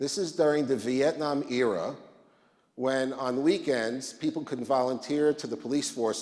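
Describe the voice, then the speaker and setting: A man with an American accent, medium in pitch, with audible room echo. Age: 60s. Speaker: rabbi. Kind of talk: conference talk.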